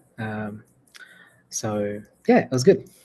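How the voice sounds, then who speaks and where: This man sounds somewhat breathy and speaks with an Australian accent. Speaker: AI entrepreneur. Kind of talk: casual chat.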